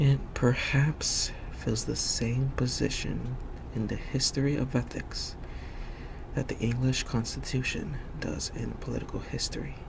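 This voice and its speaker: Background noise is noticeable in this clip. A man speaks at a fairly slow pace. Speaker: ASMR reader. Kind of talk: soft-spoken ASMR book reading. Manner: soft-spoken, not whispered.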